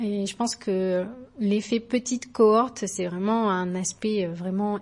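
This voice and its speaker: In a quiet background, a woman speaks very slowly at a medium pitch, somewhat breathy, with fairly even intonation. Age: 30s. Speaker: yoga teacher. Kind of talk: recorded voice message testimony.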